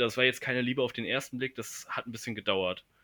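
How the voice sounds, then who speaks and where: His intonation is fairly even. The man's pitch is medium. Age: 20s. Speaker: university student. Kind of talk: casual chat. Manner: halting, many fillers.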